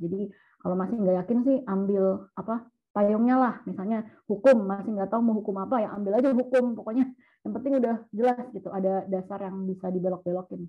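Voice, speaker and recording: A woman speaks at a very fast pace. Her medium-pitched voice keeps fairly even intonation. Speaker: university student, school alumna. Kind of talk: casual chat.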